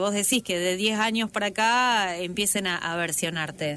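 Her tone bright and sharp, a woman talks at a moderate pace with a fairly high pitch. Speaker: radio interviewer. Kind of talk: interview.

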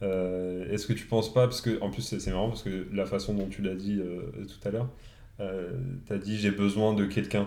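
A man with a fairly low pitch and a dark, mellow tone talks at a moderate pace with fairly even intonation. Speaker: podcast guest, new father. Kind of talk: casual chat.

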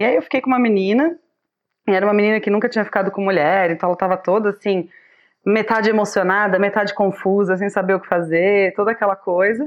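Her pace is very fast. The woman speaks at a medium pitch with ordinary pitch variation. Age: 30s. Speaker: public health nutritionist and meme page admin. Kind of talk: casual chat.

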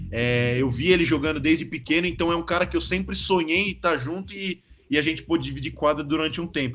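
A man talks at a very fast pace with hardly any pauses. His fairly high voice has vocal fry. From Brazil, São Paulo state (São Bernardo). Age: 20s. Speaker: professional handball player. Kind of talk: casual interview.

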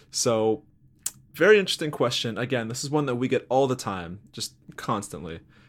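Using an ordinary speaking voice, a man talks at a fairly quick pace with medium pitch and lively intonation. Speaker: podcast host. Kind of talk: casual interview chat.

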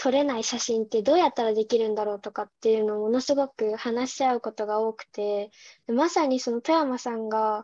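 A woman talks fairly quickly in an ordinary speaking voice, her pitch fairly high with ordinary variation, the sound dry and close with no echo over a quiet background. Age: 19. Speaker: university student, amateur photographer. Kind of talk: casual chat.

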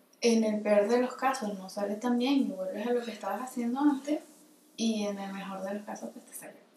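A woman's fairly high voice at a fairly quick pace, with ordinary pitch variation, big swings in loudness and noticeable background noise. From Venezuela, Caracas. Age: 20s. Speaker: film editor and photographer. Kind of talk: casual interview.

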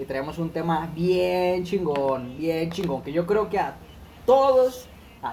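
A man with a Mexican accent, high pitch and fairly slow pace, over noticeable background noise. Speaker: podcast co-host. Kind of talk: casual chat.

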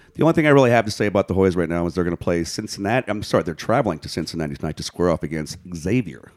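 With an American accent, a man speaks very fast and with hardly any pauses. His very deep, low pitch carries lively intonation. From Washington DC. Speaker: podcast co-host. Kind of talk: casual chat.

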